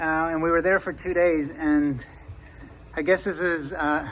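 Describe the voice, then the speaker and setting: This man's voice is high in pitch, with fairly even intonation. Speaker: sailing vlogger, father on a liveaboard boat. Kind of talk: casual vlog narration to camera.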